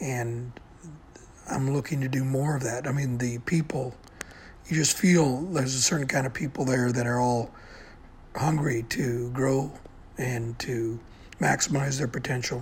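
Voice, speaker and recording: Noticeable background noise accompanies a man of medium pitch who speaks at a fairly slow pace, with long, frequent pauses. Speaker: podcaster. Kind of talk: solo monologue podcast.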